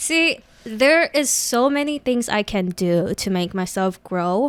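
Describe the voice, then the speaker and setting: Her pitch fairly high and swinging very widely, a woman speaks at a very slow pace. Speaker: casual Twitch streamer, podcast guest. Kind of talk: casual chat. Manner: soft-spoken.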